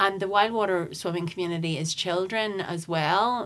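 With a Northern Irish accent, a woman talks at a moderate pace using ordinary pitch variation. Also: very clean recording, silent background. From Northern Ireland, County Tyrone near Cookstown. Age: 40s. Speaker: environmental campaigner. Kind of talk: casual interview chat. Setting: studio.

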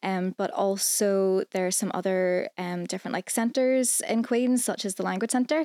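With a Northern Irish accent, a woman speaks at a moderate pace with hardly any pauses, her medium pitch showing ordinary variation and her tone dark and mellow, in a very clean, dry, close recording with no echo and a silent background. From Northern Ireland. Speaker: student recruitment assistant. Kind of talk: casual chat.

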